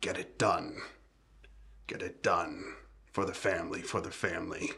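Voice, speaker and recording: Someone talks at a moderate pace in a raspy, put-on character voice. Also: man, extremely high pitch for a man. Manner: stern, commanding.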